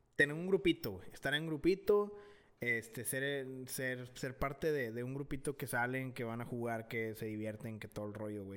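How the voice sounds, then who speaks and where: Lively in intonation, a man speaks at medium pitch with a bright, sharp tone. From Monterrey, Mexico. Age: 20s. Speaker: podcast co-host. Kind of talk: casual chat.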